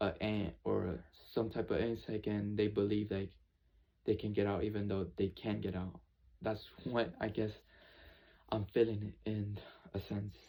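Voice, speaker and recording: A man with a fairly low pitch talks in a monotone, flat intonation. His pace is fairly slow, with long, frequent pauses. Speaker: YouTuber. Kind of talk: personal vlog monologue. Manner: halting.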